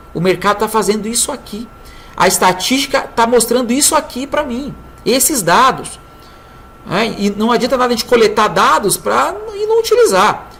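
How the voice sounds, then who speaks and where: Moderately paced speech with ordinary pitch variation over noticeable background noise. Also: woman, fairly high pitch for a woman. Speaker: trading consultant. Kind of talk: tutorial.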